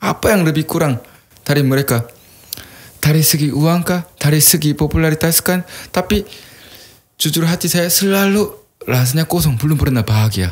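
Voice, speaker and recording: A man with a strong Korean accent talks at a fairly quick pace but with long, frequent pauses. His pitch is fairly high, with ordinary pitch variation and very even loudness. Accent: thick Korean accent in Indonesian. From South Korea. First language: Korean (speaking Indonesian). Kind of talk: podcast interview, personal testimony.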